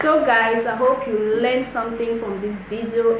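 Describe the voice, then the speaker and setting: A woman talks with fairly even intonation over light background noise, and the room echo is audible. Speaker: vlogger. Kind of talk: casual vlog advice. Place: home room. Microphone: phone near.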